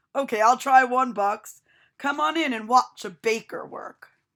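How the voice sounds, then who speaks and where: This put-on character voice is raspy, moves at a moderate pace, and shows big swings in loudness. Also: woman, high pitch for a woman. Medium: read story.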